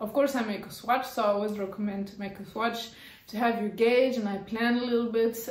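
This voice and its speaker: There is audible room echo around a woman's fairly high voice. Her pitch variation is ordinary. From France. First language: French. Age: adult. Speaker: knitting YouTuber. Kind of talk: casual vlog monologue. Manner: halting, with frequent fillers.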